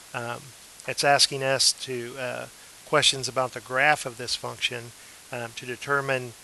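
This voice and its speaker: A man speaks at a medium pitch with monotone, flat intonation. Noticeable background noise can be heard. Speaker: math teacher. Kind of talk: tutorial. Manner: slow; hesitant, many fillers.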